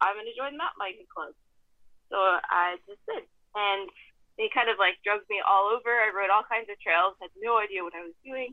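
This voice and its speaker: In a plain, everyday voice, a woman speaks at a medium pitch with ordinary pitch variation and big swings in loudness. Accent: American. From US West, Idaho. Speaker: former pro mountain biker and toxicologist. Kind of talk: casual interview.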